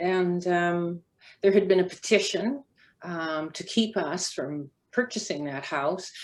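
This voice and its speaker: On a very clean recording with a silent background, a woman with a Canadian accent speaks at a very slow pace in a fairly low voice, with ordinary pitch variation and big swings in loudness. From Canada, North Vancouver. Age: 70s. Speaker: former track athlete. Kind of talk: panel testimony.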